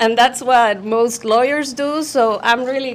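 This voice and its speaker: Female speech in a non-native accent, with ordinary pitch variation. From Puerto Rico. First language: Spanish. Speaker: journalist and human rights activist. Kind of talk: invited talk to live audience. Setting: room with live audience. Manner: hesitant, with self-corrections and fillers.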